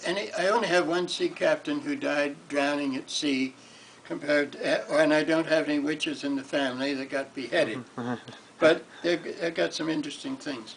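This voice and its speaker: This man's moderate pace is heard with noticeable background noise behind it. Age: 80s+. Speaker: amateur genealogist. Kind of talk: recorded talk on family history.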